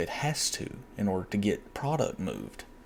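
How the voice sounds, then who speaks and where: A quiet man speaks at a fairly slow pace with a fairly low pitch. His pitch varies in an ordinary way, and there is light background noise. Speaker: box truck owner-operator. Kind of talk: screen-share tutorial. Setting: at home at night. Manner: quiet, hushed; hesitant, repetitive.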